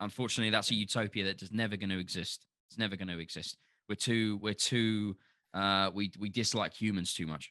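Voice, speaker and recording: Over a quiet background, a man with a Cockney accent talks at a fairly quick pace in a fairly low voice with a bright, sharp tone. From London. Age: 30s. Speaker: podcast guest. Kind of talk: casual chat. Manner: animated.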